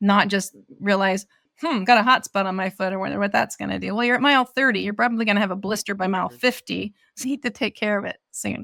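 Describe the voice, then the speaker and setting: Very fast and in an American accent, a woman speaks at a medium pitch with ordinary variation, vocal fry and a bright, sharp tone, in a very clean recording with a silent background and a dry, close sound with no echo. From US West Coast, rural Oregon. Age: 60s. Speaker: ultra-runner. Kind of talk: interview conversation.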